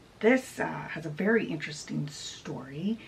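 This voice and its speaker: A woman does a put-on character voice that is raspy and very deep and low for a woman. Her pitch swings very widely, and her pace is moderate. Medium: solo performance. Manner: rambling, casual.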